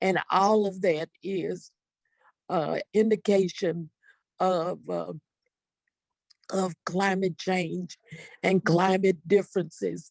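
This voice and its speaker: A woman speaks at a very slow pace and medium pitch, with monotone, flat intonation. Long, frequent pauses break up the dry, close sound with no echo. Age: 70s. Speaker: community advocate. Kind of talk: panel discussion.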